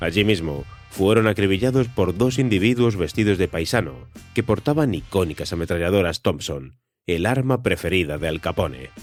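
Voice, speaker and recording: With music in the background, a man speaks at a fairly low pitch and a moderate pace. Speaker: podcast narrator. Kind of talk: history documentary narration.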